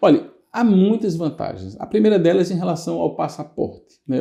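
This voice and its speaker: Against a quiet background, a dark, mellow voice moves at a moderate pace with lively intonation. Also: man. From Northeast Brazil, Recife. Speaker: lawyer. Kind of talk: interview. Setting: studio.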